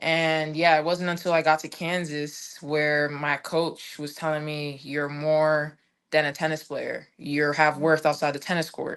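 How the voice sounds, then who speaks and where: In an American accent, a woman speaks with a very deep, low pitch and monotone, flat intonation. Her pace is fairly slow against a quiet background. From Washington DC. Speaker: former college tennis player, mental health advocate. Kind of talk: podcast interview. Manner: halting.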